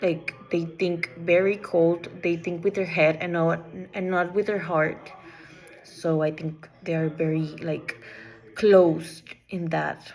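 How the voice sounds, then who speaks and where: Over noticeable background noise, a woman speaks at a very slow pace in a fairly low pitch and a monotone, flat intonation. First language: not English. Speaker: student. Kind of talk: class assignment presentation. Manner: halting, with false starts.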